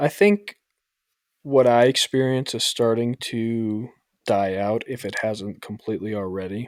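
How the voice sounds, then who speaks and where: A man with a slight New York accent, fairly slow and fairly even in intonation, in a dry, close sound with no echo. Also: medium pitch for a man. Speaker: podcast host, military service member. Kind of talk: casual chat.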